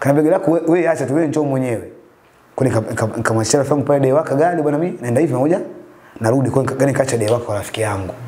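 This voice belongs to a man and sits fairly high. The rise and fall of his pitch is ordinary. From Dar es Salaam, Tanzania. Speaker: taxi driver; guest. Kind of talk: testimony. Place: home room. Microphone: lapel.

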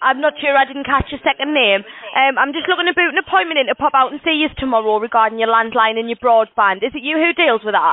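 The talking goes at a very fast pace. The sound is dry, without echo. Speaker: caller. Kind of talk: sales phone call. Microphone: phone line.

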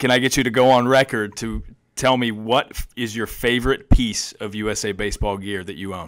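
Over a very clean recording with a silent background, a man with an unremarkable speaking voice talks at a moderate pace with fairly even intonation and big swings in loudness. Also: medium pitch for a man. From southwestern Virginia. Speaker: podcast host. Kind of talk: interview.

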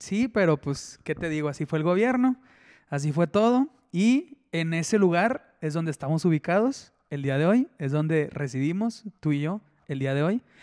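High pitch from a man, lively intonation, a moderate pace and a quiet background. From Mexico, Ciudad Juárez; Mexico. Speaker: podcast co-host. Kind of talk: casual chat. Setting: home studio. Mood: relaxed, friendly. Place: home room. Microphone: handheld.

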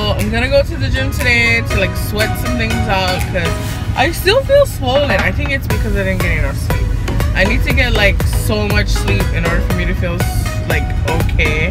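A woman at a moderate pace over loud music in the background. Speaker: vlogger. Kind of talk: casual vlog chat. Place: car. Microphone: phone near.

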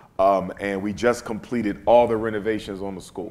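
A man's normal speaking voice, fairly low in pitch, fairly quick, with fairly even intonation. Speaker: guest. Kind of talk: interview answer. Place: stage. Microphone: lapel.

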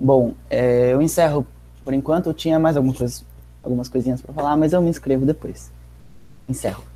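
A man talks at a fairly quick pace. His speech is broken by long, frequent pauses. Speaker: participant activist. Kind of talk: casual discussion. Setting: video call. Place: home room. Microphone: earbuds.

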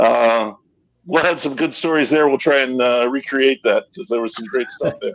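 With a quiet background, a man speaks at a moderate pace. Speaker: whiskey and beer writer. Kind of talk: casual chat. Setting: video call. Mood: relaxed, self-deprecating. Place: home room. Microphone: video call.

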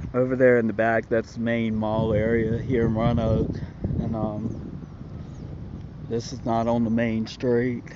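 A man's words come at a fairly slow pace, the sound dry with no echo, while loud background noise fills the recording. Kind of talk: casual vlog chat. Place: street. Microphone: phone near.

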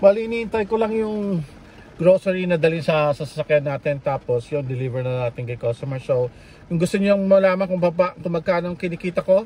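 Lively intonation and a fairly quick pace come through in a dry sound with no echo. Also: man, high pitch for a man. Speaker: food delivery driver vlogger. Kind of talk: casual vlog chat. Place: car. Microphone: phone near.

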